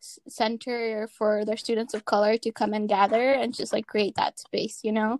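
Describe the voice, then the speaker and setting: A woman with an American accent speaks in an unremarkable speaking voice at a fairly high pitch and moderate pace, with a dry, close sound and no echo. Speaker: student podcast host. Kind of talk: casual chat. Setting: remote recording.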